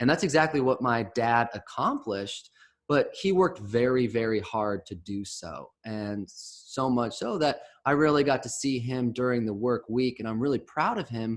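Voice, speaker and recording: In an American accent, a man uses a plain, everyday voice at a medium pitch, with ordinary pitch variation and a moderate pace. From US Midwest, Chicago suburbs. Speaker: real estate investment presenter. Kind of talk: webinar presentation. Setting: virtual online event.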